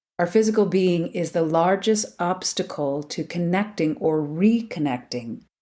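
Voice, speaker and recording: A woman talks at a fairly slow pace. Music can be heard in the background. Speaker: podcast host. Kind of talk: spiritual podcast reflection.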